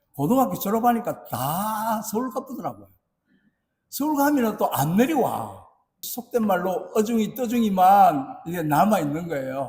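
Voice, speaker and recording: A man speaks fairly slowly in a high pitch with a Gyeongsang accent. His pitch swings very widely. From South Korea, Busan. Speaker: pastor. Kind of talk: sermon.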